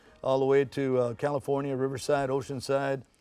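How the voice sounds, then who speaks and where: Music plays in the background as a man with an American accent speaks. His pitch is fairly high, and his pace is fairly quick. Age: 70s. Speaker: oldies radio show producer and event promoter. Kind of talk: TV interview. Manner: conversational with many fillers.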